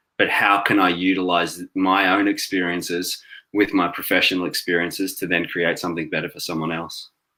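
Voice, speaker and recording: With an Australian accent, a man speaks in a very deep, low pitch, his tone bright and sharp and his intonation monotone and flat. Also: fairly quick pace. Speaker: cancer survivor and social worker. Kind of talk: interview.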